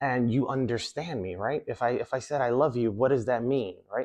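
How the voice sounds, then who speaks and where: A man with an American accent in an ordinary speaking voice, medium pitch, moderate pace, over a quiet background. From New York City. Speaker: magician and self-improvement coach. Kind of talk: motivational talk.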